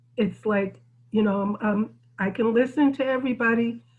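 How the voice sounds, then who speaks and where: A woman talks at a moderate pace, her voice somewhat breathy. Her intonation stays fairly even. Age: 60s. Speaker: community technology center leader. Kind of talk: group discussion on video call. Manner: halting, many fillers and restarts.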